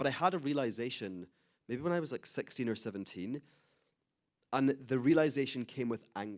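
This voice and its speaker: A man talks at a fairly quick pace with long, frequent pauses, his medium-pitched voice showing ordinary pitch variation on a very clean recording with a silent background. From Scotland, Glasgow. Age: 30s. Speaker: author and Holocaust educator. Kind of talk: interview talk.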